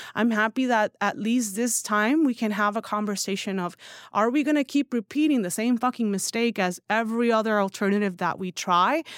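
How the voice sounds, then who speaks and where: An unremarkable speaking voice at a fairly quick pace with hardly any pauses and ordinary pitch variation, in a very clean recording with a silent background and a dry, close sound with no echo. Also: woman, fairly high pitch for a woman. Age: 30s. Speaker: newsletter founder and writer. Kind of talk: casual chat. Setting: studio.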